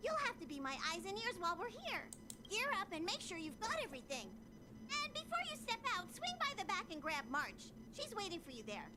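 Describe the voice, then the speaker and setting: An extremely high-pitched, put-on character voice goes at a fairly quick pace over loud background noise. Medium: video game. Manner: lively, chatty.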